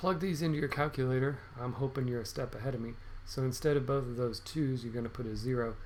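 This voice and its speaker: With audible room echo around him, a man talks at a medium pitch. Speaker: math teacher. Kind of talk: video lesson tutorial. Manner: upbeat, encouraging; fast.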